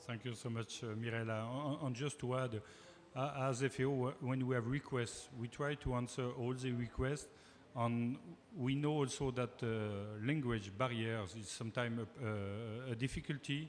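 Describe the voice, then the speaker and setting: Speaking with a French accent, a man has a medium pitch. He talks at a moderate pace with fairly even intonation. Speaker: panel moderator. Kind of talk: panel discussion. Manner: halting, many fillers.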